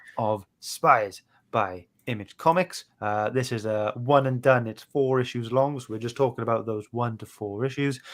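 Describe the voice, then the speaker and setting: Recorded very cleanly over a silent background, a man with a strong Welsh accent speaks at medium pitch and a moderate pace, with ordinary pitch variation. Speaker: podcast host. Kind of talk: casual chat. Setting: live stream.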